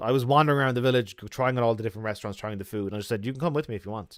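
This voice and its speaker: A man with an Irish accent is heard on a very clean recording with a silent background. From Ireland. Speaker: travel vlogger. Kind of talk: livestream chat.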